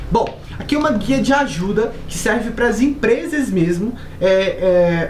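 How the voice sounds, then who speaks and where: With a Brazilian accent, a woman speaks at a fairly high pitch with lively intonation, amid noticeable background noise and audible room echo. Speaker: software company presenter. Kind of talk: software tutorial. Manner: casual.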